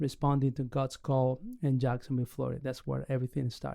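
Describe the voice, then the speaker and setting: A man of medium pitch speaks with an Argentine accent. His intonation stays fairly even. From Argentina. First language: Spanish. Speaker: pastor and church planter. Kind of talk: podcast interview. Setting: recorded live in Orlando.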